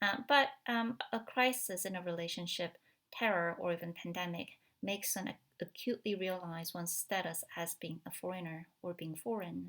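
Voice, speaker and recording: In a Korean accent, the speaker talks at a moderate pace with ordinary pitch variation on a very clean recording with a silent background. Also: woman, fairly low pitch for a woman. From South Korea. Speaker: film studies academic. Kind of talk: recorded talk. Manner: halting, many fillers.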